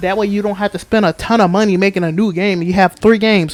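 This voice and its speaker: Over noticeable background noise, the speech comes at a very fast pace with an animated tone. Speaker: gaming YouTuber. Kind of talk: casual commentary vlog.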